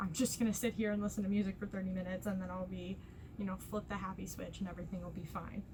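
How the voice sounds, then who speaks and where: A woman talks at a very fast pace with monotone, flat intonation over noticeable background noise. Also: medium pitch for a woman. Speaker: lifestyle vlogger. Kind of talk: casual chat. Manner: stuttering at times.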